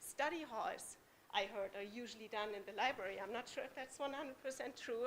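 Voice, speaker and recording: A woman speaks with a German accent at a fairly quick pace. Her pitch is fairly high. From Germany. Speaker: parent speaking at public comment. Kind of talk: public comment at school board meeting. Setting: school board meeting in public.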